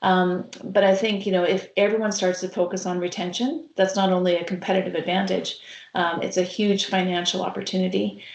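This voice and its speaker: A woman with a Canadian accent and an unremarkable speaking voice, medium in pitch, fairly quick, with fairly even intonation. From Canada, Saskatchewan. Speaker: healthcare consultant. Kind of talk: webcast interview. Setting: online webcast.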